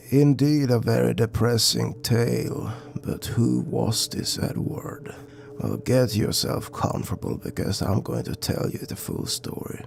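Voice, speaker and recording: A man whispers at a moderate pace over clear background noise. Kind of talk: dark legend narration. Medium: read story. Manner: conversational, somber.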